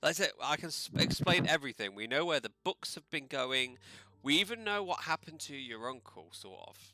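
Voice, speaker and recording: A man with a British accent speaks at a moderate pace in a bright, sharp tone, his fairly high pitch moving through lively intonation while his loudness swings widely. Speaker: tabletop role-playing game player.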